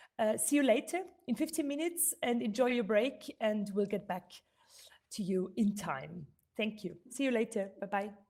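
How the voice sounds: On a very clean recording with a silent background, a woman's medium-pitched voice carries a slightly mellow tone and ordinary pitch variation. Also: moderate pace.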